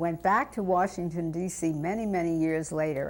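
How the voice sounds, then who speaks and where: A woman talks with a New York accent. Her pace is fairly slow. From New York City (Brooklyn). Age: 70s. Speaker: interviewee telling life story. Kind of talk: oral history interview.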